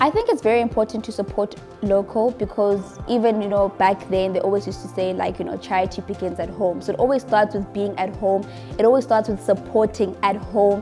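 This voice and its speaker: A woman talks at a fairly quick pace. Clear music plays in the background. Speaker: travel vlogger. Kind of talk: interview answer. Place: home room. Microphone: lapel.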